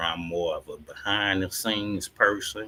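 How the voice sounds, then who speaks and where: A man with an American accent speaks at a fairly slow pace in a very deep, low pitch. His tone is bright, sharp and relaxed, with fairly even intonation. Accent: country twang. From St. Louis, Missouri, US. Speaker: podcast host and live streamer. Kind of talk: casual live stream chat. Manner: casual, relaxed.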